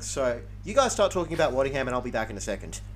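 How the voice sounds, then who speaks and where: Here a man is talking. His speech carries an Australian accent. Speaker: podcast host. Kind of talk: casual sports podcast chat.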